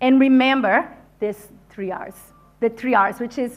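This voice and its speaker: A woman speaks at a fairly slow pace in a high voice with lively intonation and a non-native accent. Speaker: leadership consultant and speaker. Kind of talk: conference talk. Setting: stage with audience. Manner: animated.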